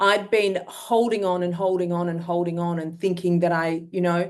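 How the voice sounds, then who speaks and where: A woman at a medium pitch, speaking at a fairly slow pace. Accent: Australian. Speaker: myeloma patient. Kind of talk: testimony.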